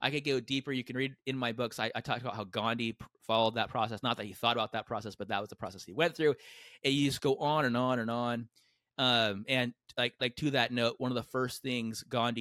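Very fast, fairly even speech from a man, in a very clean recording with a silent background and a dry, close sound with no echo. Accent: General American. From US West Coast, San Diego. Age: 40s. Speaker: entrepreneur and author. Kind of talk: casual interview.

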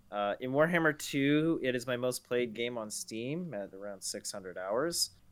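An unremarkable speaking voice belongs to a man at medium pitch with lively intonation and a fairly slow pace. The recording is very clean, with a silent background. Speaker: gaming podcast co-host. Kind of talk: casual chat.

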